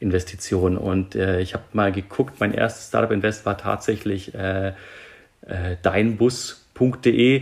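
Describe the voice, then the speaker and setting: The man has an unremarkable speaking voice. His pitch is fairly low and his intonation fairly even. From Germany, Nuremberg (Franconia). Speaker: airline pilot and startup investor. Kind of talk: interview.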